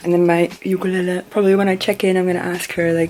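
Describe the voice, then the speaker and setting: Over music in the background, a woman with a fairly low pitch talks at a very fast pace. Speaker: vlogger. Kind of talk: casual vlog talk. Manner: soft-spoken.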